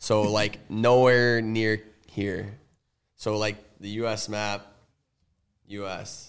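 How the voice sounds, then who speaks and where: A man with an American accent speaks at a very slow pace, leaving long, frequent pauses. His intonation is monotone and flat against a quiet background. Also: fairly low pitch for a man. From Connecticut, US. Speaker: professional hockey player. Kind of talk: casual chat with children. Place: studio. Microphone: studio mic.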